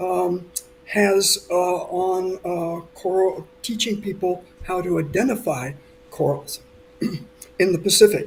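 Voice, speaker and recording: Against noticeable background noise, a man with an American accent speaks at a very slow pace in a high pitch, using ordinary pitch variation and leaving long, frequent pauses. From United States. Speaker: coral scientist. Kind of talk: talk. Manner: halting, many fillers.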